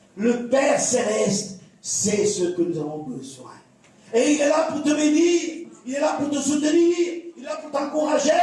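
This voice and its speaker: Audible room echo surrounds a voice with lively intonation at a fairly slow pace. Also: man, extremely high pitch for a man. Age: 70s. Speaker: pastor. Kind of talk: sermon.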